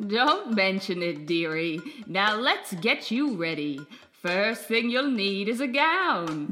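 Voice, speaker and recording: A female-sounding, put-on character voice at a medium pitch moves at a fairly slow pace over faint music in the background. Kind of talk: bedtime story character acting. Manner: warm, motherly, calling her dearie.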